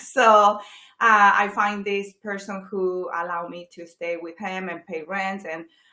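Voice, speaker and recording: A woman with a Chilean accent speaks at a fairly slow pace and medium pitch, her intonation monotone and flat, her tone bright and sharp. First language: Spanish. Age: 40s. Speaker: real estate agent. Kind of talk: interview. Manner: hesitant, many fillers.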